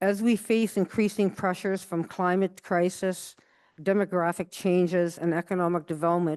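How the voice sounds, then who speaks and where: The voice has a dark, mellow tone and fairly even intonation, moving at a moderate pace over a quiet background. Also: woman. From Ontario, Canada (Garden River First Nation). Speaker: commissioner and academic, plenary speaker. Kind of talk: conference plenary talk. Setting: conference stage with audience.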